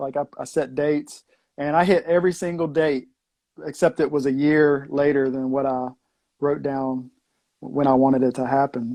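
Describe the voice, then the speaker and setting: With a Southwest Virginia accent, a man speaks in fairly even intonation over a quiet background. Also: fairly high pitch for a man, moderate pace. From US South, Southwest Virginia. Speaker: former food truck owner, raw vegan. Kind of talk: casual interview. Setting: live stream video call.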